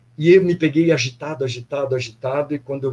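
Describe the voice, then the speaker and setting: A man's somewhat breathy voice, dark and mellow in tone, at a moderate pace with fairly even intonation. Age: 60s. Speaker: former athlete, pilgrim sharing experience. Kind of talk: casual testimony in online live panel.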